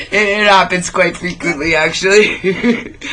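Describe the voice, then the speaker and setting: An animated tone against noticeable background noise. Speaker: rock and metal radio show host. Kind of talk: casual interview chat.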